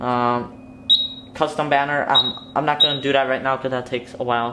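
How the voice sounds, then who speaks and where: A man's medium-pitched, monotone, flat voice at a fairly quick pace, with noticeable background noise. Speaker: hobbyist tutorial maker. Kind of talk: tutorial. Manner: hesitant, many filler ums.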